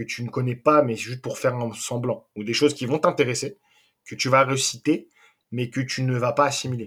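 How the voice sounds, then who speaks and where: Recorded very cleanly over a silent background, a medium-pitched man talks at a moderate pace with fairly even intonation. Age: 20s. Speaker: youth football coach. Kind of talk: interview. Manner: hesitant.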